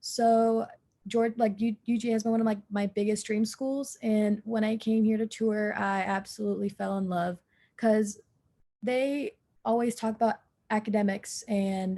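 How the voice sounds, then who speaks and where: A woman speaks at a moderate pace in a fairly high, somewhat breathy voice with a dark, mellow tone. Her intonation is monotone and flat. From Georgia, US (Forsyth County). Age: young. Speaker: university student. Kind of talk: casual introduction on video call.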